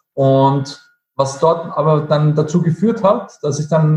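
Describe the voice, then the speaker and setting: The man's voice sits fairly high in pitch. His pitch varies in an ordinary way. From Austria, Vienna. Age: 30s. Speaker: network marketing entrepreneur, former chef. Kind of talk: interview. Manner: halting.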